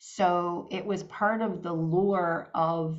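The speaker is a woman. She keeps her intonation fairly even. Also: quiet background. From Newfoundland, Canada. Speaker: dance fitness teacher. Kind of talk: casual interview. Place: home room. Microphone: video call.

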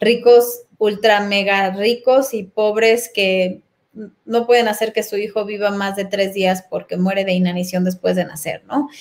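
A woman at a fairly slow pace with fairly even intonation. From Mexico City. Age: 40s. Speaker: personal development facilitator. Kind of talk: casual interview. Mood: calm, reflective. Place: home room. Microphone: webcam.

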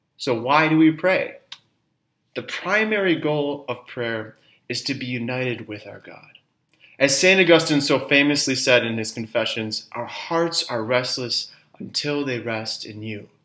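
Against a quiet background, a man speaks at a fairly slow pace in a bright, sharp tone. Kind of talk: spiritual talk. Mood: calm, warm, earnest. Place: home room.

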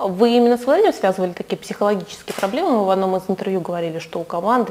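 Pitch variation in this woman's voice is ordinary. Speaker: sports journalist. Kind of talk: interview. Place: studio. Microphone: lapel.

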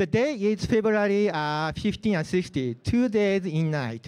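A man with a Japanese accent speaks at a high pitch and very slow pace. His intonation is lively against a quiet background. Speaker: open source community organizer; presenter. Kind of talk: lightning talk. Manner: halting, many fillers. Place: hall.

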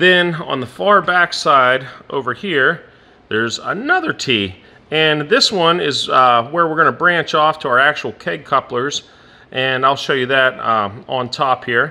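With a bright, sharp tone, a man talks at a fairly slow pace and ordinary pitch variation. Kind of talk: tutorial. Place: factory. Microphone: phone near.

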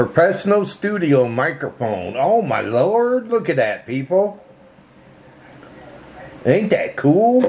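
Very wide pitch swings mark this man's very slow delivery. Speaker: vlogger unboxing a gift from a subscriber. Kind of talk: casual vlog chat. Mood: pleased, amused. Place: home room.

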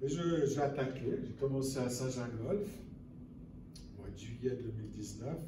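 Amid noticeable background noise and audible room echo, a man speaks at a very slow pace with ordinary pitch variation. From Lower Valais, Switzerland. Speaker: conference speaker and author. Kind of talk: lecture. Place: hall. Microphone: camera far.

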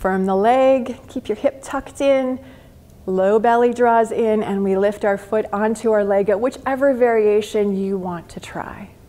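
A woman speaks at a fairly slow pace. Her voice is fairly high, with ordinary pitch variation. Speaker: yoga teacher. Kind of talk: guided yoga class instruction. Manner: gentle, encouraging, instructional.

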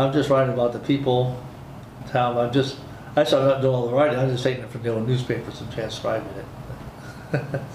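The speaker has an American accent and talks at a fairly quick pace with monotone, flat intonation. Noticeable background noise is present. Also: man. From Michigan. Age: 70s. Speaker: air force veteran. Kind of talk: oral history interview. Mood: relaxed, friendly. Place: meeting room.

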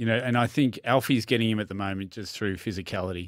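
Speaking very fast with an Australian accent, a man keeps fairly even intonation, the sound dry with no echo and the background quiet. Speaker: tennis centre manager and coach; coach. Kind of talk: casual sports chat. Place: studio. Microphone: studio mic.

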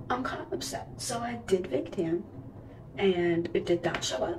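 Noticeable background noise sits behind the voice. A woman speaks at a fairly low pitch. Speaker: cheerleader vlogger. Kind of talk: casual vlog chat. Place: home room. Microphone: phone near.

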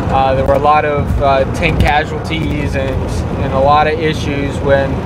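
A man talks at a moderate pace. Loud background noise surrounds a dry sound with no echo. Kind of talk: casual vlog chat. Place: car. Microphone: phone near.

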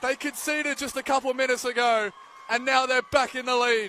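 A man's raised, projected voice comes through with an animated tone over light background noise, the sound dry with no echo. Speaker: football commentator. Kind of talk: live match commentary. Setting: stadium match broadcast. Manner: fast, clipped play-by-play delivery; animated, rising in excitement at goals and penalties. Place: stadium.

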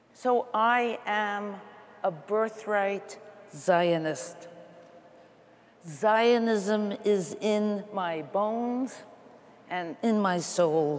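At a very slow pace, a woman with an American accent speaks with ordinary pitch variation and long, frequent pauses. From US Northeast (Queens, New York); New York. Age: 80s+. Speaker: panelist at religious assembly; panelist. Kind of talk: personal testimony. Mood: earnest, reflective. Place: hall.

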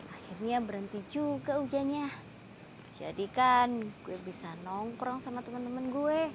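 With light background noise behind her, a woman speaks at a moderate pace in a high voice, the sound dry and without echo. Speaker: actress in short drama. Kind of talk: acted monologue. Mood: fed up, stressed. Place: garden.

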